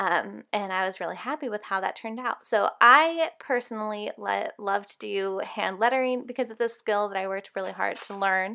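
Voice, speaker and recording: A woman's medium-pitched voice with a bright, sharp tone, on a very clean recording with a silent background. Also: ordinary pitch variation, moderate pace, hardly any pauses. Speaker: Bible journaling artist and tutorial creator. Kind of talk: tutorial. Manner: casual with frequent fillers.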